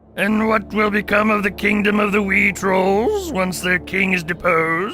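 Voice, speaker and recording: A man does a put-on character voice that is raspy and high-pitched, at a moderate pace. Clear music plays in the background. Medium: audio drama. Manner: haughty, commanding.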